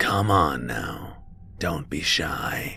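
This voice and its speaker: A man's raspy, put-on character voice over clear background noise. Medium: read story. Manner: playful, taunting.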